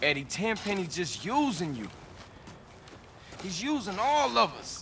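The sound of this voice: A man's put-on character voice, high-pitched and fairly bright, with very wide pitch swings at a fairly slow pace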